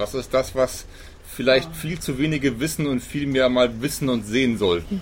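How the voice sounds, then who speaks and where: A man talks at medium pitch with lively intonation. His voice is somewhat breathy, and the pace is moderate. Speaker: podcast host. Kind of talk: interview. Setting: outdoors on a balcony.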